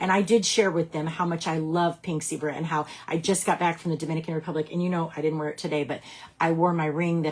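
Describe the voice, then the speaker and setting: A woman speaks with a fairly low pitch. Her tone is animated. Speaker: direct sales team leader. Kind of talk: live stream talk to team. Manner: loud.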